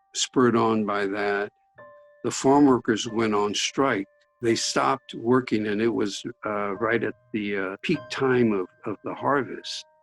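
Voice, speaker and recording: A man with an American accent speaks at a fairly slow pace in a dry, close sound with no echo, with music in the background. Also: fairly low pitch for a man, ordinary pitch variation. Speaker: Japanese American prison camp survivor. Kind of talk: interview.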